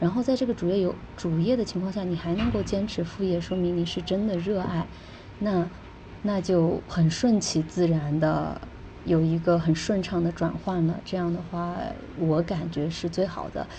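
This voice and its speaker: This woman has a normal speaking voice, fairly low in pitch, with ordinary pitch variation at a moderate pace. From China. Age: 20s. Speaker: travel blogger and e-commerce entrepreneur. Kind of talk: casual interview.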